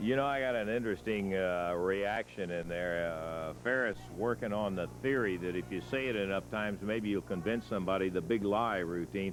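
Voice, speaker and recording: Using a normal speaking voice, the speaker keeps a moderate pace with lively intonation and hardly any pauses. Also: man, fairly low pitch for a man. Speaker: wrestling TV interviewer. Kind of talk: studio wrestling interview host. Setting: TV studio.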